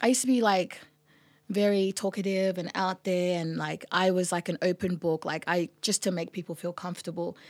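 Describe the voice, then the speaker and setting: On a very clean recording with a silent background and a dry, close sound with no echo, a woman with an Australian accent talks at a moderate pace and medium pitch. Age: 20s. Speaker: musician. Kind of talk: casual chat.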